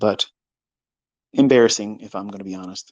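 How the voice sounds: Speaking at a moderate pace, a man has a fairly low pitch, a slightly mellow tone and ordinary pitch variation.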